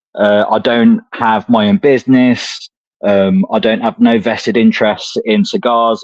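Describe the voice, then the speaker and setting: A man with an English accent at a fairly slow pace, in a dry, close sound with no echo. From England, Coventry (Midlands). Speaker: cigar enthusiast. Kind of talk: casual chat.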